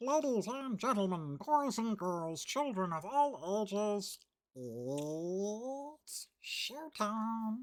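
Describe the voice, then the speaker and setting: A put-on character voice with fairly high pitch. It moves at a very slow pace. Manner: booming, theatrical.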